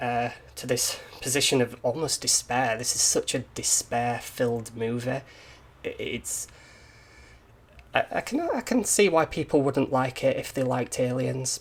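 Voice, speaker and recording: A man with a Yorkshire accent at a fairly slow pace, with long, frequent pauses. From Yorkshire, northern England. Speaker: indie game developer and YouTuber. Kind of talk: casual monologue, film review. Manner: hesitant, many repeats and fillers.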